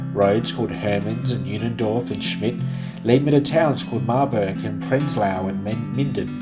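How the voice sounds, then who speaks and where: A man with a fairly low pitch, an Australian accent and lively intonation, with music in the background. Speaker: spoken word writer and narrator, travel storyteller. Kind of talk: spoken word narration, first-person travel story over music. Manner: reflective, literary, measured.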